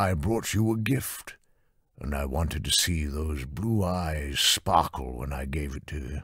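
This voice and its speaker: A put-on character voice with lively intonation moves at a moderate pace in a very clean recording with a silent background. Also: man, very deep, low pitch for a man. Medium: read story. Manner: smooth, self-assured.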